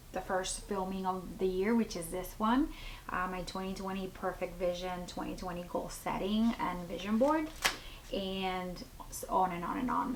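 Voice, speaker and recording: Amid noticeable background noise and audible room echo, a woman speaks at a medium pitch and a moderate pace. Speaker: lifestyle vlogger, mom. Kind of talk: casual vlog talk to camera. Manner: chatty, many fillers.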